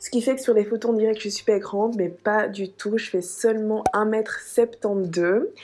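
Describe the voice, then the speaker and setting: A woman with a fairly high pitch and fairly even intonation at a moderate pace, against noticeable background noise. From Dominican Republic, Santo Domingo, until age five. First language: Spanish (speaking French). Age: 20s. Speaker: lifestyle vlogger. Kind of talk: casual chat to camera. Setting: hotel room. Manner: chatty, with filler hesitations.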